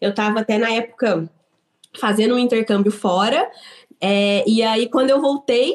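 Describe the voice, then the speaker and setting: A woman with a plain, everyday voice speaks at a moderate pace and a fairly high pitch, with ordinary pitch variation. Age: 30s. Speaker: business owner. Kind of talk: interview.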